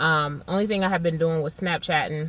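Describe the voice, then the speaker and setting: Her intonation stays fairly even. The woman's pitch is very deep and low. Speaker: vlogger. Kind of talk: casual vlog update. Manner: fast.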